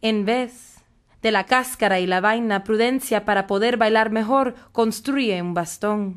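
A woman speaks at a fairly slow pace and fairly high pitch in a dramatic, animated tone, in a very clean recording with a silent background. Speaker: poet performing spoken word. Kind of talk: poetry performance, spoken word. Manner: dramatic, animated, shifting between voices; defiant and sassy, playful.

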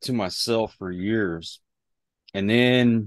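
Against a quiet background, a man speaks with ordinary pitch variation in a dry sound with no echo. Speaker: podcast guest. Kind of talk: interview answer. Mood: relaxed, reflective. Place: home room. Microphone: video call.

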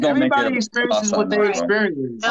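With music playing behind him, a man with an American accent talks at a fairly quick pace in a high-pitched voice. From East Coast of the US. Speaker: panel guest on a live discussion stream. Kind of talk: heated casual debate. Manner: fast talker; blunt, combative. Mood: annoyed, argumentative. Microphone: phone near.

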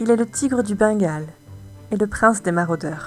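Music plays in the background as a woman speaks with lively intonation at a medium pitch. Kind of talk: poetry reading.

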